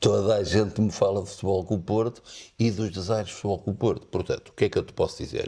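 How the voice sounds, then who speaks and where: A man speaks at a fairly low pitch in a dark, mellow tone. His voice is somewhat breathy. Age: 60s. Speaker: lawyer and football commentator. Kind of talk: interview.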